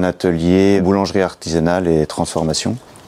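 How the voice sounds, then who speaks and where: Noticeable background noise accompanies a man whose voice is very deep and low. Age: 30s. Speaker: farmer. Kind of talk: interview testimony. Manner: hesitant, many fillers.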